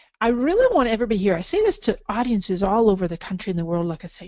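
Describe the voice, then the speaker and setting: Her voice is fairly high, her tone animated, and she speaks at a very fast pace. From Scotland. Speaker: social media marketing expert. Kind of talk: webinar presentation. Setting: online webinar.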